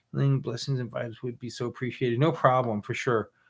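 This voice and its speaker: A man talks at a fairly quick pace in a medium pitch. It is a plain, everyday voice. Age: 60s. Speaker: witchcraft channel host. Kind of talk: live Q&A chat. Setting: live stream.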